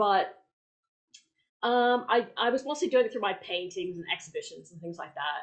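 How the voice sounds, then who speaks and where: A woman with a slight American accent speaks against a quiet background. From United States. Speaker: puppeteer and survivor activist. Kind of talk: panel discussion. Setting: online event. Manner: halting, many fillers.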